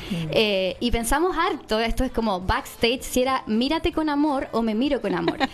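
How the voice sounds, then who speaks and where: Over noticeable background noise, a woman with a high-pitched voice speaks at a moderate pace with hardly any pauses, lively intonation and very even loudness. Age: 30s. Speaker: podcast co-host. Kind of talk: casual interview.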